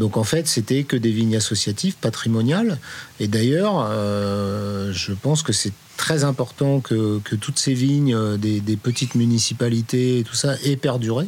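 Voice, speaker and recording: Fairly slow, medium-pitched speech from a man, with ordinary pitch variation against noticeable background noise. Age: 50s. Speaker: winemaker. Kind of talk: interview. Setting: on location. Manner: halting.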